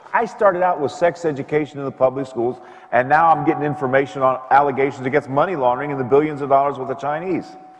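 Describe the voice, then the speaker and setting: Noticeable background noise sits behind a man with a fairly high pitch. He talks very fast, with ordinary pitch variation. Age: 70s. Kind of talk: conversation with audience Q&A. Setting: parish event with audience.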